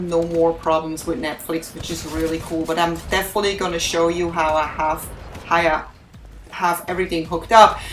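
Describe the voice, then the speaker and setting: With a strong non-native accent, a woman speaks at a fairly low pitch against noticeable background noise. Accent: heavy foreign. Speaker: gaming YouTuber. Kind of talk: gameplay commentary. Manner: deliberately not too fast; casual, filler-heavy.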